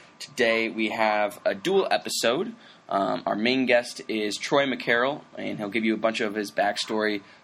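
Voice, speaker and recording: A man's ordinary speaking voice at a medium pitch, moderate pace and ordinary pitch variation. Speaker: podcast host. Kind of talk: casual interview chat.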